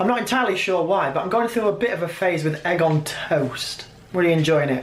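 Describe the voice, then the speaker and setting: Amid audible room echo and noticeable background noise, a man with a high pitch speaks at a moderate pace with very wide pitch swings. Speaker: musician and vlogger. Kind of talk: casual vlog talk. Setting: in a car.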